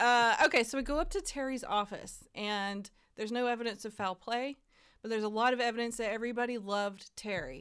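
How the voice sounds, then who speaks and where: With an ordinary speaking voice, a woman talks at a fairly high pitch and a fairly quick pace, showing ordinary pitch variation. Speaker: podcast host. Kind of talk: casual chat.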